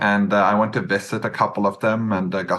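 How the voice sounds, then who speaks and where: A man talks at a fairly quick pace with a Norwegian accent. His pitch is fairly low. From west coast of Norway. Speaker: business acquirer, entrepreneur. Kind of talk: podcast interview.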